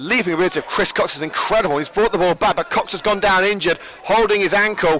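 A man's high, raised, projected voice at a very fast pace, animated and excited in tone, over noticeable background noise. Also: ordinary pitch variation. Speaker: football commentator. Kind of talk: live sports commentary, play-by-play. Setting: stadium press box at the ground. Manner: fast, animated, excited play-by-play; jokey, chatty between plays.

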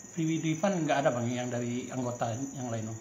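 A man talks with ordinary pitch variation, with audible room echo and light background noise. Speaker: sports reporter. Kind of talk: interview. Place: office.

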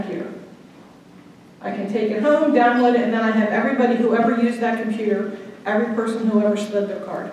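Strong room echo surrounds a woman speaking at a very fast pace. Her intonation is monotone and flat, over light background noise. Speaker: guest, attorney. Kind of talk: lecture. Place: hall. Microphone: camera far.

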